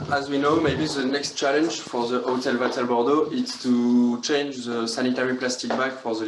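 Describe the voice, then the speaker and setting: A French accent at a moderate pace, with audible room echo and noticeable background noise. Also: man. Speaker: hospitality student. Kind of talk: guided tour. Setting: hotel room. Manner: halting.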